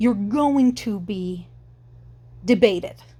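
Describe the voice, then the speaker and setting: The voice is somewhat breathy with a dark, mellow tone, moving at a very slow pace with ordinary pitch variation. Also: woman, very clean recording, silent background. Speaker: vlogger. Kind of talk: opinion monologue. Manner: halting, disfluent speech; repetitive false starts.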